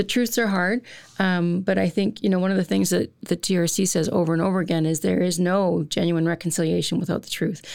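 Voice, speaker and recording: In a normal speaking voice, a woman with a fairly low pitch talks at a fairly quick pace with fairly even intonation and very even loudness, on a very clean recording with a silent background. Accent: Canadian. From central Alberta, Canada. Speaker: college dean. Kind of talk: panel interview.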